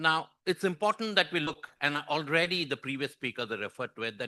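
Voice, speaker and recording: In a dry, close recording with no echo, a man with a fairly high pitch swings very widely in tone, his bright, sharp voice edged with vocal fry. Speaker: conference speaker on population aging. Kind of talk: conference presentation.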